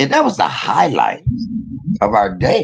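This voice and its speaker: A man's animated voice at a moderate pace. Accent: American. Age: 50s. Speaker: online commentator. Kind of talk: casual chat.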